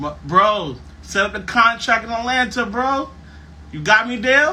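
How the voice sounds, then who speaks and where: A man speaks in a raised, projected voice at a fairly slow pace, with ordinary pitch variation. Audible room echo and noticeable background noise are present. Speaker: podcast host. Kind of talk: casual chat. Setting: live stream. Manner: loud.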